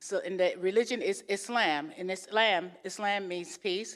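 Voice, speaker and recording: The pitch varies in an ordinary way. The recording is very clean, with a silent background. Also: woman. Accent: American. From New York. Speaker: guest speaker. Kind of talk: interfaith talk. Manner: fast.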